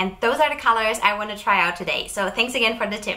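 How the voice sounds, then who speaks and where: This is a woman's voice. Her intonation is fairly even. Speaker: chocolate maker vlogger. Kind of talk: casual vlog chat. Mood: cheerful, friendly. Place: home room. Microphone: lapel.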